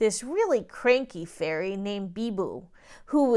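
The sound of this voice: An unforced reading voice carries lively intonation from line to line.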